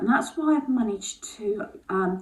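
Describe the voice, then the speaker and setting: A woman with an English accent speaks with very wide pitch swings. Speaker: lifestyle vlogger. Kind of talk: casual vlog monologue. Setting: at home on the landing. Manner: hesitant, many fillers.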